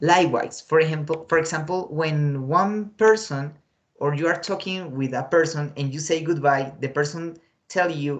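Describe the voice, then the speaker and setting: This man speaks with a Spanish accent at a moderate pace. His pitch is fairly high. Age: 20s. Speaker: English teacher. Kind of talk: online class lesson. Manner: hesitant, many fillers.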